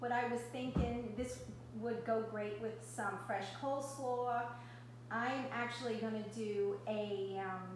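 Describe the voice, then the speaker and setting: Over light background noise and audible room echo, a woman talks at a fairly slow pace. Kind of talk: casual cooking tutorial. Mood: warm, chatty. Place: kitchen. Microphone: camera far.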